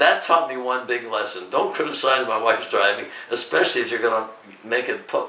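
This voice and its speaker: Over noticeable background noise and audible room echo, a man with an American accent speaks at a medium pitch with ordinary pitch variation. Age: 90s. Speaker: YouTuber, WWII veteran. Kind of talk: interview. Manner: halting.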